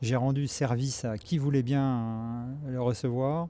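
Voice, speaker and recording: His voice, a man's, carries a dark, mellow tone. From France (Paris). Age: 60s. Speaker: pilgrim giving a testimony. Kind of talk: testimony. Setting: outdoors in Jerusalem. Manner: halting, many hesitations.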